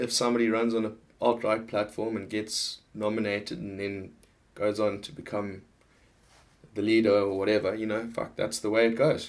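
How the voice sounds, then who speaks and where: A man speaks with a Zimbabwean accent. His intonation is monotone and flat. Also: fairly low pitch for a man, moderate pace. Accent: Zimbabwean accent noticeable. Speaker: political vlogger. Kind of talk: casual monologue. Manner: halting, many false starts.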